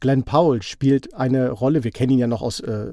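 A man's dark, mellow tone at a fairly quick pace. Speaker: podcast host, film reviewer. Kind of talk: casual chat.

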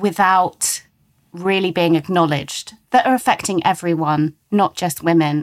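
A woman with an unremarkable speaking voice, fairly low pitch and ordinary pitch variation at a moderate pace, dry and close with no echo, on a very clean recording with a silent background. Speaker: columnist and editorial director. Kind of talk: podcast interview discussion. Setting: studio.

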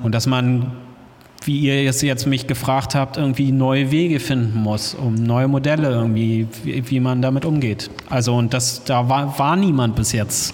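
A man's medium-pitched voice, very even in loudness and fairly even in intonation, with audible room echo and noticeable background noise. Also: fairly slow pace. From Hamburg, northern Germany. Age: 40s. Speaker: DJ and music producer. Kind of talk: interview before live audience. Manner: halting, many fillers.

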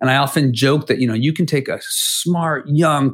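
Somewhat breathy, the voice moves at a fairly quick pace with ordinary pitch variation, captured in a very clean recording with a silent background. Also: man. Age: 40s. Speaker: education nonprofit leader, former teacher. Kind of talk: interview.

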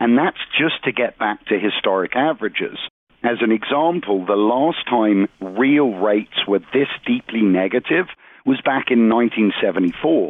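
In an ordinary speaking voice, a man talks at a fairly slow pace with medium pitch, lively intonation and very even loudness. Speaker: economic analyst. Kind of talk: interview.

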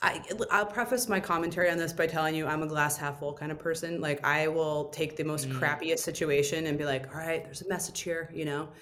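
Very fast speech with hardly any pauses and fairly even intonation comes in an American accent, with audible room echo and noticeable background noise. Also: woman, very deep, low pitch for a woman. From Indiana, US Midwest. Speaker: restaurant owner. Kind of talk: interview.

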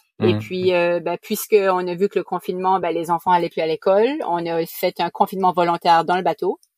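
The speaker talks at a fairly quick pace with an Acadian accent and ordinary pitch variation. Music sits in the background, and the sound is dry and close with no echo. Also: woman, fairly low pitch for a woman. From New Brunswick, Canada (Acadian). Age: 40s. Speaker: sailor, family living aboard. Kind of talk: interview.

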